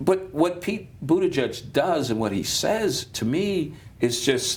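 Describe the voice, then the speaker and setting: With an American accent, the speaker talks at a very slow pace and with lively intonation, and audible room echo surrounds the voice. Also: man. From Chicago, West Side. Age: 60s. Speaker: pastor and political commentator. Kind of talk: panel discussion. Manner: halting, many restarts.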